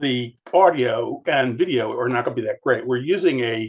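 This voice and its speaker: A man's medium-pitched voice with ordinary pitch variation at a moderate pace. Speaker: discussion leader and author. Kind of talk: introductory remarks to viewers. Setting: room with group around a discussion table. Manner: loud; clear speech. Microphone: recorded by a 360-degree table device, poor microphone.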